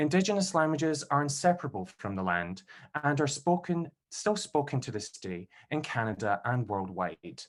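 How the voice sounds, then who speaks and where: Against a quiet background, the speaker swings very widely in pitch with a Scottish accent. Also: man, fairly high pitch for a man, moderate pace. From Scotland, Glasgow. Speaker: PhD candidate and event host. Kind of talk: event introduction. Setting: video call.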